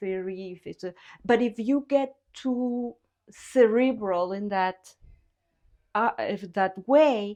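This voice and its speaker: Speaking with a Spanish accent, a woman has a dark, mellow tone and a fairly high pitch with ordinary pitch variation. She talks at a very slow pace with long, frequent pauses and big swings in loudness against a quiet background. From Guatemala. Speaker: visual artist. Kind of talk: interview. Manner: halting.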